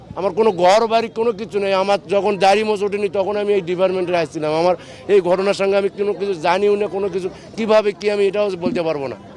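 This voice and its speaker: Over noticeable background noise, a man with a high-pitched voice speaks in fairly even intonation. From northern Bangladesh. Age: 30s. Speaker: released former border guard soldier. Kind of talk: emotional testimony to reporters.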